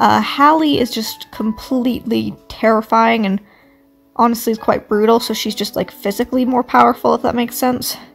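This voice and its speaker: A woman speaks with fairly even intonation. Music plays behind her. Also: fairly high pitch for a woman, moderate pace. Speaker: artist channel owner. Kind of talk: casual Q&A monologue. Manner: halting, with many fillers.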